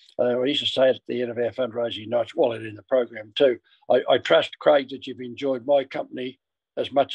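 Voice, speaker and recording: A man speaks with an Australian accent. His loudness swings widely, and the sound is dry and close with no echo. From Australia, Ballarat. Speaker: former footballer and club marketing director. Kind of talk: interview storytelling. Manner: halting.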